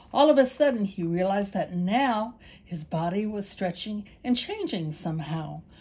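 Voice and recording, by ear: Someone is reading aloud in a natural voice, the intonation lively throughout.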